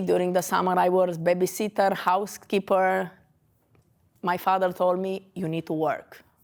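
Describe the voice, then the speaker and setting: A Romanian accent on a very clean recording with a silent background. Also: woman. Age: 40s. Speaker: dentist. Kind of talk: lecture. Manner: halting.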